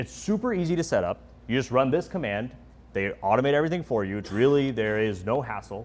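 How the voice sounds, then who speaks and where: At a fairly quick pace, a man speaks in a medium pitch with lively intonation. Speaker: tech talk presenter. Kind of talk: technical presentation. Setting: stage with live audience. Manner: fast; halting, many fillers.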